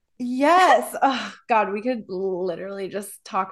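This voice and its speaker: A woman speaks with an American accent at a medium pitch. Her intonation is lively and her tone animated. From US Midwest. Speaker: podcast host and wellness coach. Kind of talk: casual chat.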